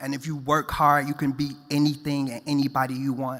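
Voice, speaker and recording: Here a man with an American accent talks at a moderate pace in a fairly high pitch. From US Midwest, Chicago South Side. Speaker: fashion stylist, award winner. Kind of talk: award acceptance speech.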